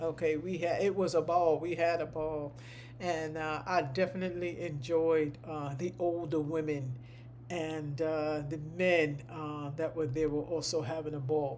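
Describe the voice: At a fairly slow pace, the delivery holds a fairly even intonation. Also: woman, low pitch for a woman.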